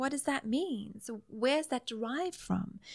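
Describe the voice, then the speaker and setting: A woman speaks with a South African accent and ordinary pitch variation. The recording is very clean, with a silent background. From South Africa, Greek Italian family. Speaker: nutritional therapist. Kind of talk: interview conversation.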